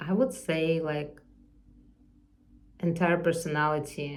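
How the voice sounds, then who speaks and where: In a non-native accent, a woman with a fairly low pitch and ordinary pitch variation talks in a room with audible echo. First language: not English. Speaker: artist vlogger. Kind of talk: unscripted personal vlog monologue. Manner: halting, searching for words.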